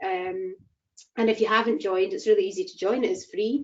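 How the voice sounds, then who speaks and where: A woman with a Scottish accent speaks at a fairly quick pace, her fairly high pitch showing ordinary variation. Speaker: chair of a rail industry network. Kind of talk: online event introduction.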